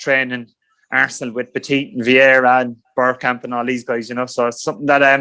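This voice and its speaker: A man speaks very fast at medium pitch. His intonation is flat and monotone. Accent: Irish. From Ireland, rural County Cork. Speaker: former professional footballer. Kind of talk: podcast interview.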